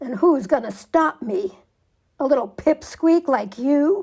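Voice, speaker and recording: In a put-on character voice, a woman speaks at a high pitch and a fairly slow pace. Her pitch swings very widely. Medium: read story.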